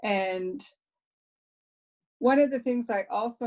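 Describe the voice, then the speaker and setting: The delivery is very slow, with ordinary pitch variation. The background is quiet. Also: woman. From Nova Scotia, Mi'kmaq community near Boat Harbour. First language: Mi'kmaq (bilingual with English). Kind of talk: panel talk, personal testimony. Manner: halting, with fillers and repeated words.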